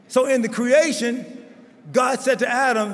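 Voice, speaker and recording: Noticeable background noise, plus room echo that can be heard. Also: man. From Baltimore, US. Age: 70s. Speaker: bishop. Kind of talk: conference speech.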